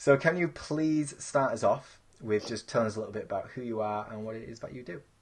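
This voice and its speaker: Speaking very fast, a man with a medium-pitched voice shows big swings in loudness and ordinary pitch variation. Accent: Yorkshire. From Yorkshire. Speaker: podcast host. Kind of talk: interview.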